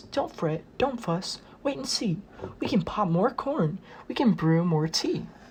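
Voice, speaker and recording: Over clear background noise, a squeaky, put-on character voice that sounds female talks at a fairly slow pace with medium pitch. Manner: soothing, reassuring.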